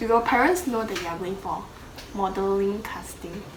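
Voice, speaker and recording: A woman at medium pitch, moderate pace and fairly even intonation, amid audible room echo and noticeable background noise. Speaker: YouTuber and model. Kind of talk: casual chat.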